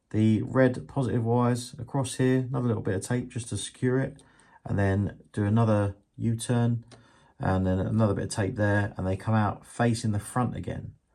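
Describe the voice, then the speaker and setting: Against a quiet background, a man speaks with a dark, mellow tone at a medium pitch. His intonation is fairly even and his pace moderate. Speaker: model railway hobbyist. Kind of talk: tutorial. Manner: monotone; casual.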